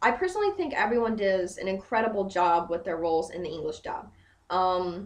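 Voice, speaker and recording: A woman talks at a fairly quick pace and a medium pitch. Noticeable background noise runs underneath. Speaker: anime reviewer. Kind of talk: casual anime review to camera. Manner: hesitant, filler-heavy.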